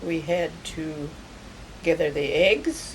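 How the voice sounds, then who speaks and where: Over noticeable background noise, a woman with a Midwestern US accent speaks at a fairly low pitch. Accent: rural Midwestern American. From US Midwest, rural Kansas. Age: 80s+. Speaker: elderly woman recounting her life. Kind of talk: oral history interview.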